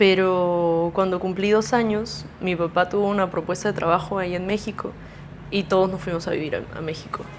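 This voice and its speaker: A woman's monotone, flat delivery at medium pitch and moderate pace, with noticeable background noise. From Peru, mostly Lima, early years in Mexico. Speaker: musician. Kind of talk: casual interview. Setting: at home.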